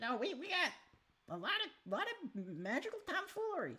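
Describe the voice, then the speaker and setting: A put-on character voice moves at a moderate pace, its pitch swinging very widely. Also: woman, extremely high pitch for a woman. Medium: actual play. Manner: casual, offhand, salesy.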